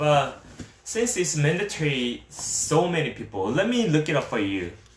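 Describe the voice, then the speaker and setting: A man speaks with a Korean accent, somewhat breathy and at a fairly slow pace. His fairly high pitch makes very wide swings, and there is audible room echo. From South Korea. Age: 30s. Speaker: streamer. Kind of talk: live stream Q&A. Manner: halting.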